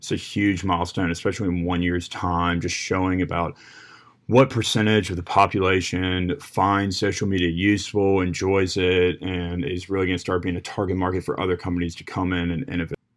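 Here a man has a very deep, low pitch and an American accent. He talks at a fairly quick pace with fairly even intonation. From Virginia. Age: 20s. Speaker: student podcaster. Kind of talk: solo presentation.

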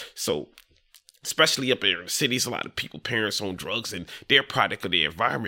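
A man at a very fast pace, bright and sharp in tone, with vocal fry. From Delaware (Dover), US. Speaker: real estate wholesaler, former prisoner. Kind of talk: casual interview. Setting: studio with cameras.

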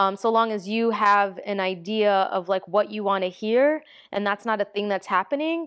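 Here is a woman with an ordinary speaking voice. Her pitch is fairly high, varies in an ordinary way, and her pace is moderate. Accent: American. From New York, the Bronx. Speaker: DJ. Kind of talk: casual chat.

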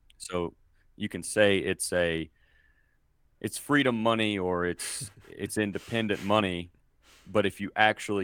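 A man with an American accent and a plain, everyday voice, fairly low pitch, fairly even intonation and moderate pace, on a very clean recording with a silent background. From US South, Mississippi. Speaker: podcaster. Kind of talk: casual interview.

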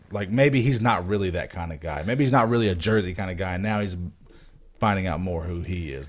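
With audible room echo, the speech moves at a very fast pace with ordinary pitch variation. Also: man. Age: 20s. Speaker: podcast co-host. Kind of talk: casual chat.

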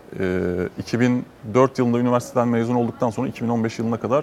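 A man speaks in a medium pitch. Noticeable background noise can be heard. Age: 40s. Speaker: entrepreneur. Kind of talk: panel discussion.

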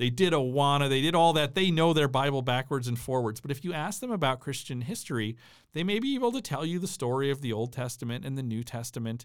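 With an Upper Midwest accent, a man of fairly high pitch talks at a very fast pace with hardly any pauses and ordinary pitch variation, on a very clean recording with a silent background. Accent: Upper Midwest American. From US Midwest, southern Minnesota. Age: 40s. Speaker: history professor. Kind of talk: casual conversational interview.

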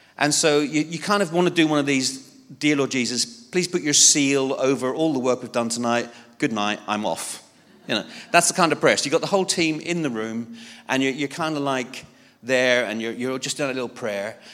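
In a very clean recording with a silent background, a man talks at a fairly quick pace in a plain, everyday voice, with medium pitch and ordinary pitch variation. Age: 50s. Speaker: lay preacher. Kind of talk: sermon. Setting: church.

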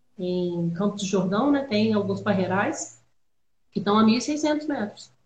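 A normal speaking voice with lively intonation at a fairly slow pace. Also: woman. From Minas Gerais, Brazil (Juiz de Fora). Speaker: winemaker. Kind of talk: casual chat.

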